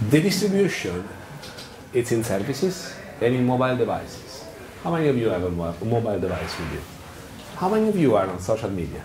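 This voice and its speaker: A man with an Italian accent speaks at a fairly quick pace and medium pitch, with very wide pitch swings and long, frequent pauses. Audible room echo and noticeable background noise surround him. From Italy. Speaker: software engineering lead, conference speaker. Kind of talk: tech talk. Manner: animated; halting.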